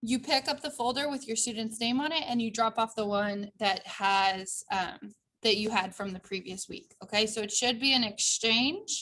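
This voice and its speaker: A woman's fairly high voice at a moderate pace with ordinary pitch variation, in a very clean recording with a silent background. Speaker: elementary school teacher. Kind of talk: recorded video update for parents. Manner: halting.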